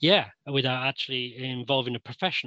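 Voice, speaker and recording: A Mancunian accent, bright and sharp in tone, in a dry, close sound with no echo. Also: man. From Manchester, England. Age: 60s. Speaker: interviewee. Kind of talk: interview. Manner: halting.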